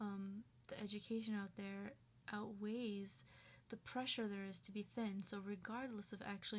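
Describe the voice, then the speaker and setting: This woman has a plain, everyday voice, pitched in the medium range, speaking at a moderate pace with fairly even intonation. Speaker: vlogger. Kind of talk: personal rant to webcam. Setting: webcam recording at home. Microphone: poor webcam audio.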